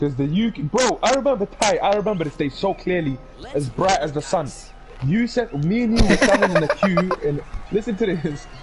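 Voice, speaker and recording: Over music in the background, a man with a high pitch talks at a moderate pace with lively intonation. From Lebanon, then Essex and London. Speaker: gamer streamer. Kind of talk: casual chat. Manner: animated.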